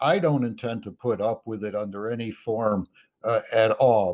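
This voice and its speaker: A man with an American accent speaks at a fairly slow pace. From US Midwest, Chicago. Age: 60s. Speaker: political candidate. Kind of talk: political debate. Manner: halting, repeats words.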